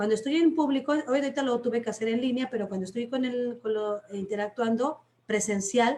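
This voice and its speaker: Her pitch fairly high, a woman speaks at a fairly quick pace in an animated tone. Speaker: teacher and storyteller. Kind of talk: workshop talk in a live stream. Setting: online live stream.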